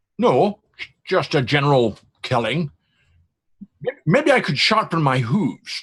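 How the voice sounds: Putting on a character voice, a man speaks slowly at a fairly high pitch, his fairly bright tone carrying a slightly husky edge and big pitch swings.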